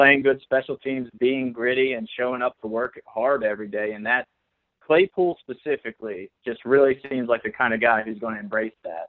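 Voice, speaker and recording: At a moderate pace, a man with an American accent talks in an unremarkable speaking voice of medium pitch. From South Central Pennsylvania, Fulton County. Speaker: sports journalist. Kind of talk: casual sports podcast chat.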